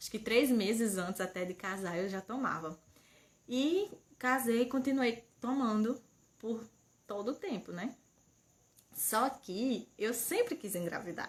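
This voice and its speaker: A soft-spoken woman's fairly high voice with lively intonation and long, frequent pauses. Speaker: mother and channel owner. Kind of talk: casual livestream chat. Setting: home livestream. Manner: speaking softly.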